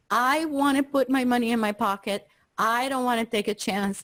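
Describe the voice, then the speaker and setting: A woman uses a normal speaking voice, pitched fairly high, and keeps to a moderate pace. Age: 60s. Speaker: investing teacher. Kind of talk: online class review.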